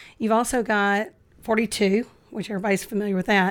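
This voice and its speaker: Very fast-talking woman with a Dallas accent on a very clean recording with a silent background. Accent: sounds like she's from Dallas. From Memphis, Tennessee. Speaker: real estate investor. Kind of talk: casual chat. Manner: animated.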